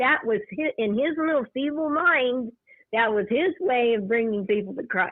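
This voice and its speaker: This woman's voice is high in pitch. She keeps to a fairly slow pace. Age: 60s. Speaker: caller. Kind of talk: casual chat.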